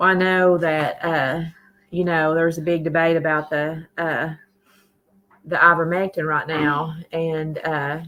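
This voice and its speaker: A woman with a Tennessee accent, fairly low in pitch and bright and sharp in tone, at a fairly slow pace with monotone, flat intonation. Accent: US Southern (Tennessee). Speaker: livestream host. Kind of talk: casual livestream chat. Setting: live stream.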